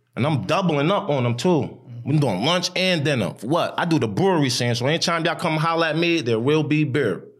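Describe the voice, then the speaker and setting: A man with an American accent, fairly high pitch, fairly quick pace, animated tone and lively intonation over music in the background. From New York City (Harlem, Bronx), with Chicago South Side roots. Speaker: food truck owner. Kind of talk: casual chat.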